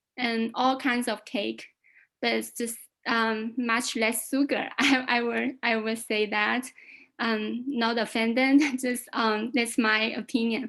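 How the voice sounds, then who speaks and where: Very slowly and in monotone, flat intonation, a woman with a Chinese accent speaks in a high voice. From China. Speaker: club guest. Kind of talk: impromptu speech. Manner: halting.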